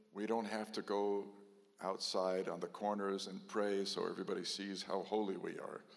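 Speaking fairly slowly, a man's voice carries audible room echo. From Texas. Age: 70s. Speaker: rabbi. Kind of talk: sermon.

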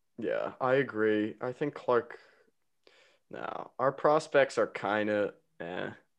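A man with an American accent speaks at a very slow pace, with long, frequent pauses. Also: quiet background. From New Jersey. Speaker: podcast host, baseball fan. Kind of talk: casual chat, sports talk. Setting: remote call between hosts.

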